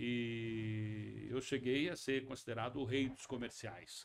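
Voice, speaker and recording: A man's normal speaking voice, medium in pitch, with fairly even intonation and a fairly slow pace. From western São Paulo state and Paraná, Brazil. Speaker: actor, producer and director. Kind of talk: interview. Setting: studio.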